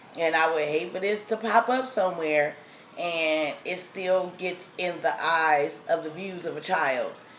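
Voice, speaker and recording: A woman's fairly low voice at a fairly slow pace, with audible room echo. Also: ordinary pitch variation. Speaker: food vlogger. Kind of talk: casual vlog. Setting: outdoors then at home. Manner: soft-spoken.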